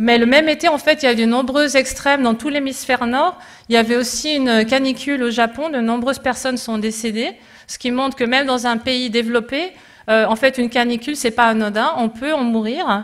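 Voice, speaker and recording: At a fairly quick pace, a woman speaks with a high pitch and fairly even intonation. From Switzerland. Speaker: climate scientist. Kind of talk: conference talk. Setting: conference with audience. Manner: halting, many hesitations.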